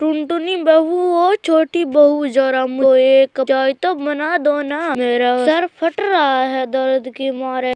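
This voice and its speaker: A woman does a cartoonish character voice, high in pitch. She speaks at a fairly slow pace with ordinary pitch variation. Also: hardly any pauses. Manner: soft, pleading.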